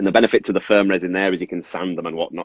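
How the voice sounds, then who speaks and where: A man's very deep, low-pitched voice. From northern England, Carlisle, Cumbria. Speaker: resin figure artist. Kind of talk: casual interview with demonstration.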